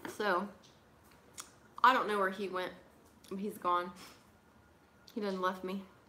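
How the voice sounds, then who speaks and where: A woman mumbles in a flat monotone at medium pitch, with a bright, sharp tone. She leaves long, frequent pauses, and the room echo is audible. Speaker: pipe crafter and livestream host. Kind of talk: casual livestream chat. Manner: mumbling; fast.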